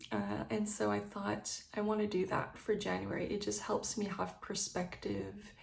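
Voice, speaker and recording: Noticeable background noise and audible room echo fill the recording. Through them, a woman talks fairly slowly. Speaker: lifestyle vlogger. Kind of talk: casual vlog monologue. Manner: hesitant, many fillers.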